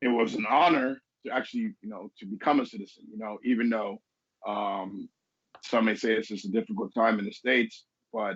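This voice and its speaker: In a New York accent, a man speaks at a fairly quick pace and medium pitch, with ordinary pitch variation and big swings in loudness. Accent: New York accent, can switch accents. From Venezuela, moved to US as teenager. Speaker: business consultant. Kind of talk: interview conversation.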